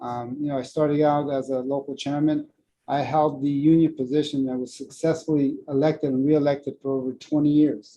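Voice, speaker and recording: Moving at a fairly quick pace, a man speaks in a dark, mellow tone with monotone, flat intonation. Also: fairly high pitch for a man. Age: 60s. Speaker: union official. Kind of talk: conference talk. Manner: halting.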